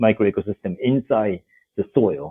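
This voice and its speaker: A man with a Japanese accent speaks at a fairly slow pace. His pitch is fairly low, with ordinary variation. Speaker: development finance executive. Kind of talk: interview.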